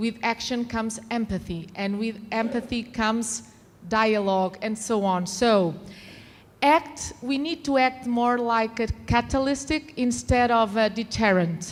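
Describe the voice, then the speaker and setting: A woman talks at a fairly slow pace with a non-native accent. Her voice is fairly high and somewhat breathy, with ordinary pitch variation. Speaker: conference panelist. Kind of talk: panel talk.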